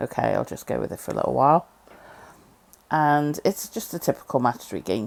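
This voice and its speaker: A woman with a Liverpool accent talks at a moderate pace. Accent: Scouse. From Liverpool, England. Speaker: game reviewer. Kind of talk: casual game review commentary. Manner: casual, hesitant with fillers.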